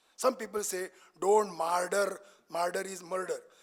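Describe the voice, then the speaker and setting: Speaking with a Marathi accent, the voice keeps a moderate pace. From Maharashtra, India. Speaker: senior cardiac surgeon, expert speaker. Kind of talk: lecture. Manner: animated.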